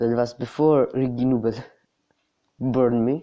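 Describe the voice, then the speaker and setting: The speech moves at a very slow pace in a non-native accent. The background is quiet. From not US or UK. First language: not English. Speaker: mobile game YouTuber. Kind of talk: gameplay tutorial. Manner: halting.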